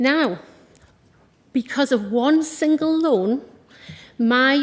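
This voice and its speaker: With a North East England accent, a woman speaks in a high voice with lively intonation. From North East England, County Durham. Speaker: small business owner and local councillor. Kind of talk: campaign speech. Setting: stage with audience. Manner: animated.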